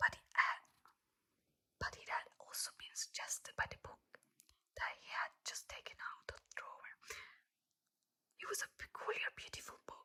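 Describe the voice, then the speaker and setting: The voice is whispering at a moderate pace. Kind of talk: ASMR book reading, soft-spoken. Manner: soft-spoken, whispering, repeating words.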